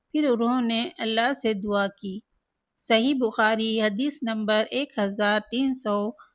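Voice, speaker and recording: On a very clean recording with a silent background, a woman has an ordinary speaking voice with fairly even intonation and a fairly high pitch. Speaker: religious speaker. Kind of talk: religious text reading.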